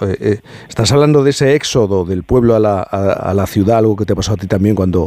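Talking at a fast pace, a man uses a fairly low pitch, ordinary pitch variation and a dark, mellow tone.

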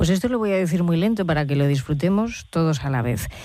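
Low-pitched for a woman, her dark, mellow tone moves along at a fast pace. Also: lively intonation.

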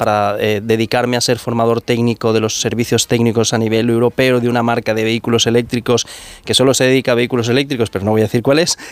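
A man's medium-pitched voice at a fairly quick pace, with little pitch movement.

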